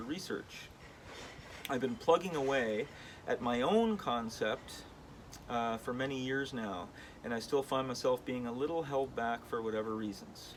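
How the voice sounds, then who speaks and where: Through noticeable background noise comes a man at medium pitch with ordinary pitch variation. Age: 40s. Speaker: wood sculptor and artist. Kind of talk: vlog monologue with reading aloud of own email. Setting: in his studio. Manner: casual, with many fillers.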